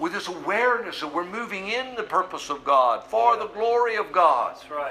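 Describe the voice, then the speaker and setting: A man speaks in a high, raised, projected voice at a moderate pace with hardly any pauses. His pitch swings very widely and his loudness varies a lot. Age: 60s. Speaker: pastor. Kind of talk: sermon.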